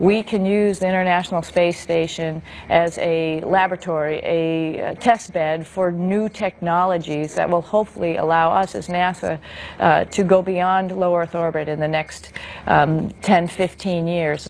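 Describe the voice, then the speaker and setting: Noticeable background noise sits behind a woman with an American accent who speaks at a moderate pace, her pitch fairly low and her intonation fairly even. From US Northeast, Needham near Boston, Massachusetts. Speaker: astronaut. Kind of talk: interview.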